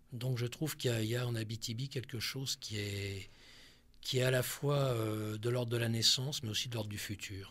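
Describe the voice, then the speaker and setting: With fairly even intonation, the man's medium-pitched voice moves at a moderate pace. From Corsica, France. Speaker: psychiatrist and researcher. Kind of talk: radio interview.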